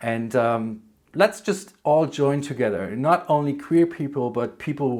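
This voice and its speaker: Speaking with a German accent, a man with a fairly high pitch talks at a fairly slow pace with lively intonation on a very clean recording with a silent background. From Germany. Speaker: book vlogger. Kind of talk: casual vlog, answering tag questions. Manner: hesitant, many fillers.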